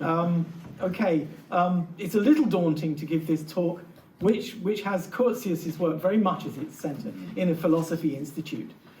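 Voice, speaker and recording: A man speaks in a high voice, with audible echo in the room. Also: ordinary pitch variation, moderate pace. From England, North London. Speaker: literature professor. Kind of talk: lecture. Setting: lecture hall with audience.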